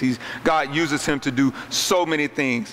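Over light background noise, a man talks with ordinary pitch variation. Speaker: pastor. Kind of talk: sermon. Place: hall. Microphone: handheld.

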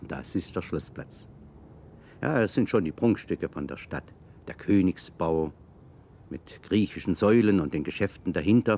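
In a dry sound with no echo, a man with a dark, mellow tone and fairly low pitch speaks at a fairly slow pace, using lively intonation, big swings in loudness, and long, frequent pauses. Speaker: aerial tour narrator. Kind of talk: 1960s German documentary narration, scripted aerial city tour. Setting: aerial footage voice-over. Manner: chatty, warm, folksy, lightly humorous, guiding viewers like a friendly tour guide; measured, clear, conversational pace with Swabian-flavored colloquial asides. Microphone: old recording.

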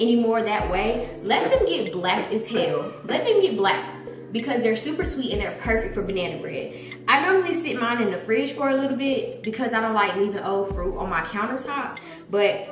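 Speaking at a moderate pace, a woman is captured with audible room echo and light background noise. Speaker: cooking vlogger. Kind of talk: casual vlog chat. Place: kitchen. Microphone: camera far.

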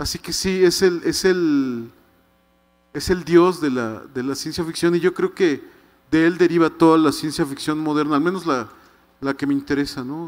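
With fairly even intonation, a man speaks in a fairly high voice at a moderate pace over a quiet background. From Mexico City. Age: 50s. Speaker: writer. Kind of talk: book presentation talk. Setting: stage with audience. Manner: halting, many repetitions. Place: stage. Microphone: handheld.

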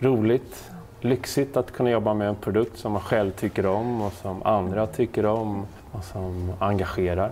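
A normal speaking voice at a fairly slow pace, with fairly even intonation over light background noise. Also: man, fairly low pitch for a man. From Netherlands. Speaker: entrepreneur, founder of an online seed company. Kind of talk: interview. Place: home room.

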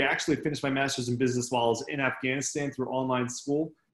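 A man's fairly even intonation, with audible room echo over a quiet background. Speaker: army veteran and MS patient speaker. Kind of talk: talk to a club meeting. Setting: video call. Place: home room. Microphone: webcam.

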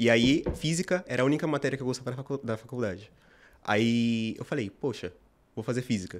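Very fast speech comes from a man. His pitch variation is ordinary. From Brazil, São Paulo (north zone). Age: 20s. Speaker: medical student; guest. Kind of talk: interview. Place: studio. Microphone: studio mic.

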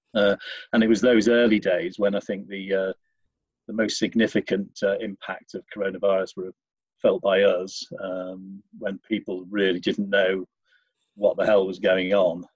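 A man talks at a fairly slow pace with a fairly low pitch and flat, monotone intonation, in a dry sound with no echo. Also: quiet background. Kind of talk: interview answer. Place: home room. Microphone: video call.

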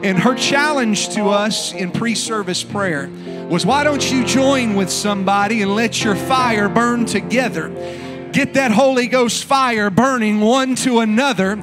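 With clear music in the background, a man speaks fairly slowly with ordinary pitch variation. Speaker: pastor. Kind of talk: sermon opening and prayer. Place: church. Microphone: handheld.

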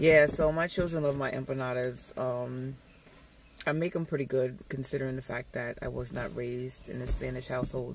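The sound is dry, with no echo. Noticeable background noise can be heard. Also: woman. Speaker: vlogger, stay-at-home mom; home mom vlogger. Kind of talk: casual vlog chat. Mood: playful, upbeat. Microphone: phone near.

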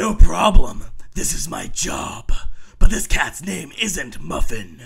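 A raspy, cartoonish character voice at a fairly slow pace, with big swings in loudness. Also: man. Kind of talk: comic superhero pastiche. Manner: heroic, self-assured, chipper.

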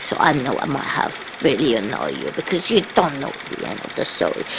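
There is noticeable background noise while a woman talks. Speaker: comedian. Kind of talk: comic bedtime story in an old-granny character voice. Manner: slow, rambling, halting, with repeated words and forgetful pauses. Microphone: webcam.

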